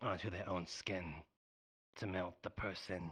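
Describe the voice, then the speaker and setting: A raspy put-on character voice from a man, very deep and low in pitch, at a fairly slow pace. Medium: game stream. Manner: refers to himself in third person.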